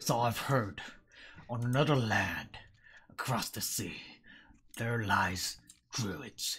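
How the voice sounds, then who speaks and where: Putting on a character voice, a man speaks at a very slow pace with long, frequent pauses, at a medium pitch with ordinary variation. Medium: actual play.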